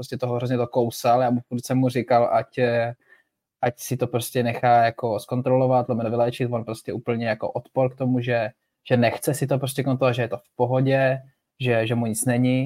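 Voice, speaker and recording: A man with a dark, mellow tone, medium pitch, monotone, flat intonation and a moderate pace. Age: 20s. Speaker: floorball player. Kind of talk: casual chat.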